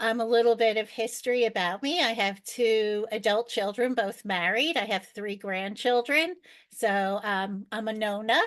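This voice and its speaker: A normal speaking voice from a woman, fairly high in pitch, with ordinary pitch variation and a quiet background. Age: 60s. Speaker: world traveler. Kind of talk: podcast interview.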